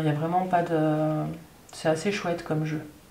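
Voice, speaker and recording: A calm voice speaks at a fairly slow pace, with audible room echo and noticeable background noise. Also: woman. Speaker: tarot reader. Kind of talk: tarot reading monologue. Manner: hesitant, many fillers.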